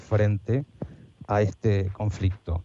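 Somewhat breathy, a man speaks at a very slow pace in a fairly low pitch with a dark, mellow tone. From Argentina, Buenos Aires area. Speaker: sport philosopher and historian. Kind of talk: interview. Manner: formal.

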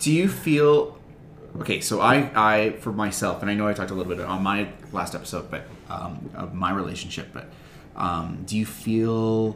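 A normal speaking voice from a man, fairly low-pitched, at a moderate pace. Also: lively intonation. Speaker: substitute teacher. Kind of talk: casual chat.

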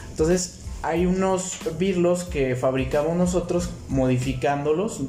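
A man speaks at a very slow pace, with noticeable background noise and audible room echo. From Mexico. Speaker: inventor and entrepreneur. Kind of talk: interview.

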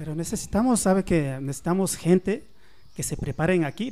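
At a fairly quick pace, a man speaks in a fairly high voice with ordinary pitch variation. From Ecuador. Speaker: immigrant guest. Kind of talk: casual radio chat. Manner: halting.

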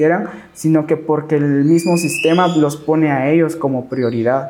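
A man with a Guatemalan accent speaks at a fairly slow pace, with a fairly high pitch and monotone, flat intonation, over noticeable background noise. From Guatemala, Lake Atitlán (San Juan La Laguna, Sololá). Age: 20s. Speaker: marimba player and music teacher. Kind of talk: casual interview.

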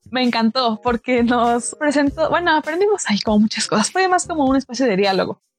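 A woman with a high pitch talks with hardly any pauses in a dry, close sound with no echo. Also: lively intonation, very even loudness. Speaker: radio host. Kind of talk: poem reading aloud, then conversational hosting. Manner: earnest, declamatory, impassioned.

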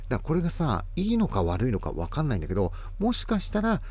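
A man speaks at a very fast pace with a fairly high pitch and very wide pitch swings. Audible room echo surrounds his voice. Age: 40s. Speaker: florist and podcast host. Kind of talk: casual monologue. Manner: rambling, filler-heavy.

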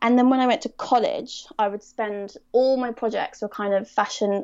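A woman with a southern English accent speaks at a moderate pace. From Surrey, southern England. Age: 20s. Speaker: fashion photographer. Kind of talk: podcast interview.

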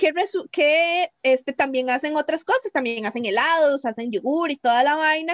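A high-pitched woman at a moderate pace with lively intonation and hardly any pauses. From Costa Rica, Cartago. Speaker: podcast co-host. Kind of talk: casual chat. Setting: remote recording.

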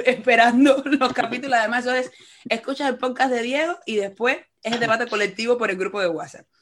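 Pitched high, a woman talks at a fairly quick pace. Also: ordinary pitch variation. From Cuba. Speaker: podcast host, journalist. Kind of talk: interview conversation.

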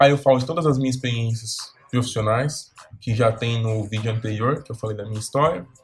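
Over noticeable background noise, a man speaks fairly quickly at medium pitch with fairly even intonation. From Brazil, São Paulo. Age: 20s. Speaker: career coach youtuber. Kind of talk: video tutorial.

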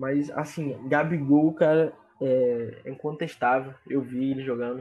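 A man's dark, mellow tone comes through as he talks at a fairly slow pace. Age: 20s. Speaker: sports podcast co-host. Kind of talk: casual sports chat.

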